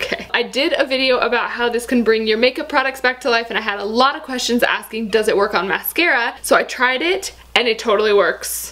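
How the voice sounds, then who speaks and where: Through noticeable background noise, a woman with an American accent and a high pitch talks at a fairly quick pace. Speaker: beauty YouTuber. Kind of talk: casual product review vlog. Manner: fast; animated.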